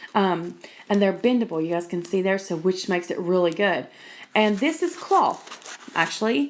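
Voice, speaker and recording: A woman's medium-pitched voice with an American accent, moderate pace and ordinary pitch variation amid noticeable background noise. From West Virginia. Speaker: YouTuber. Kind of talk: show-and-tell tutorial. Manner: casual, chatty with many fillers.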